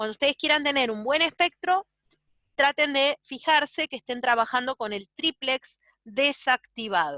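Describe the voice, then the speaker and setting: Raised and projected, a woman's high, bright, sharp voice with an Argentine accent shows ordinary pitch variation in a dry, close sound with no echo. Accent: Argentine Spanish (Rioplatense). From Argentina. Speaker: doctor teaching ultrasound. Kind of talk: lecture.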